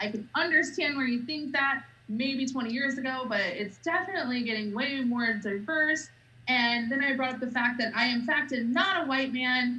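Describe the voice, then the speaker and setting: A woman with an American accent projects a raised, high voice at a moderate pace with ordinary pitch variation. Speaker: political party spokesperson. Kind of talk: casual interview chat. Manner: loud, outspoken.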